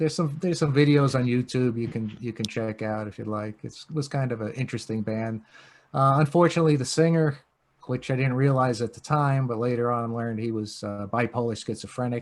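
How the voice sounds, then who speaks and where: With a New York accent and a relaxed tone, a man talks at a fairly quick pace on a very clean recording with a silent background. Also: medium pitch for a man, ordinary pitch variation. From Long Island, New York. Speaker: punk rock guitarist. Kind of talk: podcast interview. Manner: relaxed, hesitant with fillers.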